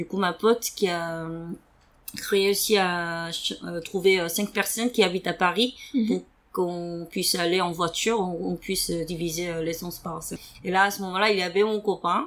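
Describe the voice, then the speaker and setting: Speaking with a Korean accent at a fairly slow pace, a woman with a fairly low pitch keeps her intonation fairly even and leaves long, frequent pauses. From South Korea. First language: Korean (speaking French). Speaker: podcast guest sharing personal story. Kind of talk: interview testimony. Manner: halting with many fillers.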